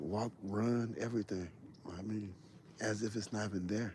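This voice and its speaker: A man speaks in a dark, mellow tone at a fairly low pitch. His intonation stays fairly even. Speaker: hunting livestreamer. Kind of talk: live stream chat. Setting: outdoors in the woods. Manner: loud.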